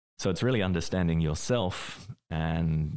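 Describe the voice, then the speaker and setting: A man's voice, very deep and low in pitch with a dark, mellow tone, comes through over a quiet background. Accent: Australian. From Australia. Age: 40s. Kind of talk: interview. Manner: hesitant, many fillers.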